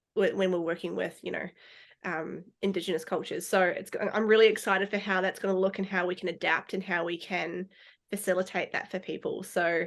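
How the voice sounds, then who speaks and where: Against a quiet background, a woman talks at a fairly quick pace and medium pitch, her intonation monotone and flat. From New Zealand, Christchurch. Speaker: dog therapy trainer. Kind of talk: podcast interview. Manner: hesitant, many filler ums.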